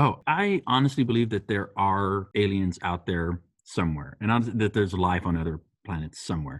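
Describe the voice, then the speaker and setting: A man's plain, everyday voice with an American accent, fairly low in pitch, with lively intonation and a fairly quick pace. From US, Texas-Mexico border. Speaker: podcast guest, coworker of host. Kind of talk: casual chat.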